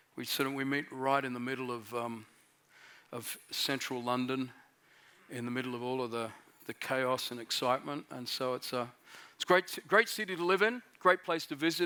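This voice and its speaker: In an Australian accent, the voice has a bright, sharp tone, ordinary pitch variation and a moderate pace. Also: man. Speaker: pastor. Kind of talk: sermon. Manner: halting, many fillers.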